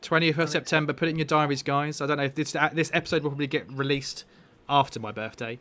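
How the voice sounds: A man speaks at a fast pace with a fairly high pitch. His tone is bright and sharp, and his intonation fairly even.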